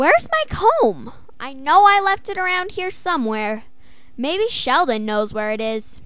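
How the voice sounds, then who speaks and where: In a cartoonish character voice, a female-sounding speaker talks at a moderate pace with a high pitch over noticeable background noise. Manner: curious, questioning.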